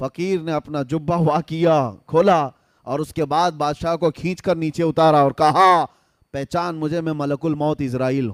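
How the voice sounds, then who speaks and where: A man with a high voice delivers his lines in a dramatic tone. The recording is very clean with a silent background, and the sound is dry and close with no echo. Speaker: Islamic scholar / preacher. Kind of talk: Islamic sermon (bayan) to a live audience. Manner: storytelling within sermon, dramatic.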